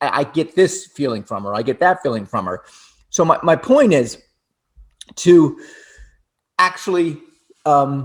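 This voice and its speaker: A man with an American accent and a fairly high pitch, very wide pitch swings, a fairly slow pace and long, frequent pauses. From US (Florida). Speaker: relationship talk show co-host. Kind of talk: casual chat. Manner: halting, many repetitions and restarts.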